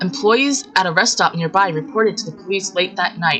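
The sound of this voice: The reading voice sounds unforced, and its pitch varies in an ordinary way.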